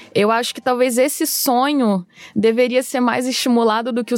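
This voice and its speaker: A woman with an unremarkable speaking voice and fairly high pitch keeps her intonation fairly even as she talks at a moderate speed. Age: 30s. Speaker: screenwriter. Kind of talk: casual chat.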